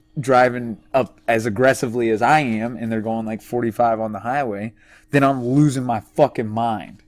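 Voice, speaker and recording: A man talks in a normal speaking voice at medium pitch and a moderate pace, with fairly even intonation. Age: 20s. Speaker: podcast co-host. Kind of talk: casual chat.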